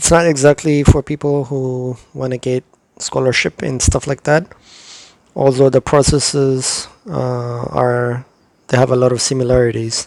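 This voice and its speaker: Someone with an Ethiopian accent speaks at a fairly slow pace in a monotone with flat intonation, the sound dry and close with no echo. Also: man. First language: Amharic. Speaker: YouTuber giving visa advice. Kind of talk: tutorial. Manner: halting, many fillers.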